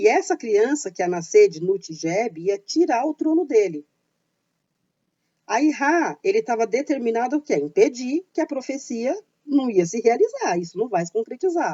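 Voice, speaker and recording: A high-pitched female voice with very wide swings in pitch, at a moderate pace. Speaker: YouTuber on paganism and witchcraft. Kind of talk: informal educational talk.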